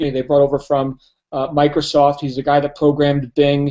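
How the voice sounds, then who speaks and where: The man's pitch is fairly high, and his delivery is fairly quick. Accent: New Jersey. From New Jersey. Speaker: network marketing presenter. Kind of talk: webinar business presentation. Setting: live webinar.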